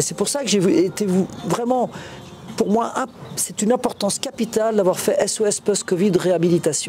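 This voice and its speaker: Over noticeable background noise, a man with a high pitch speaks at a moderate pace with ordinary pitch variation. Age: 60s. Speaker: covid survivor and association founder. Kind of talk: interview. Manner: halting.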